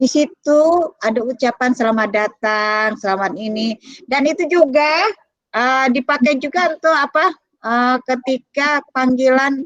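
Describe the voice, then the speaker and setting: A woman with a high pitch speaks at a fairly slow pace with lively intonation, the sound dry and close with no echo. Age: middle-aged. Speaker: librarian and lecturer. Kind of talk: lecture. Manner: halting.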